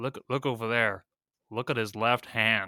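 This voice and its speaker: A man's put-on character voice in an American accent, medium in pitch and fairly slow. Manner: exaggerated.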